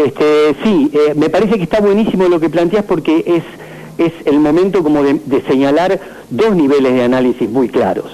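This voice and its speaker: Against noticeable background noise, a man with a fairly high pitch speaks at a moderate pace and very even loudness. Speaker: school director. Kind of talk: phone interview.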